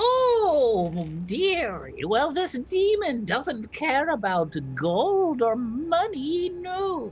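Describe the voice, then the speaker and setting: In a put-on character voice, a man goes extremely high in pitch with very wide pitch swings, moving at a very slow pace with hardly any pauses, over clear background noise. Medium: actual play. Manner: cooing, grandmotherly, calls others dearie.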